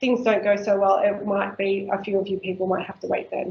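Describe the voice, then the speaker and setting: A woman is talking. Her accent is Australian. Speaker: council workshop presenter on native bees. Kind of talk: workshop presentation.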